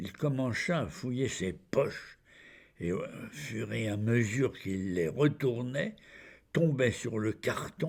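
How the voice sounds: Natural read-aloud speech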